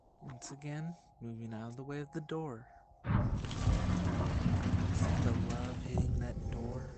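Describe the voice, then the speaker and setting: Over noticeable background noise and audible room echo, a man speaks at a medium pitch and a very slow pace, with lively intonation and big swings in loudness. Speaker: gaming streamer. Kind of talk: live gameplay commentary.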